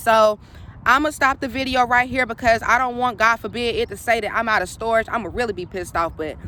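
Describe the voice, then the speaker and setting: A woman speaks at a fairly high pitch with a bright, sharp tone. Her pace is fairly quick, and her pitch variation is ordinary. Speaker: spiritual coach. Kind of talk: casual vlog monologue. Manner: fast.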